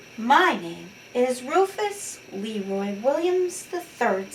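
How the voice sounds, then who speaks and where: A woman's high-pitched put-on character voice, very slow, with very wide pitch swings and clear background noise. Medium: read story.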